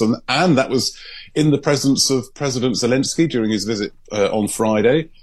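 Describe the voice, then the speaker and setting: With music in the background, a man's speech has lively intonation. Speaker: London-based news correspondent. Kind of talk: newsreading, briskly delivered. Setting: radio link-up with studio. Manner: fluent, measured, conversational.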